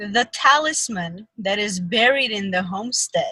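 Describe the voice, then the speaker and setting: Speaking with an Armenian accent, a woman uses a bright, sharp tone at a very slow pace, her pitch swinging very widely. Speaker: fan podcast host. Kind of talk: casual chat. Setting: video call.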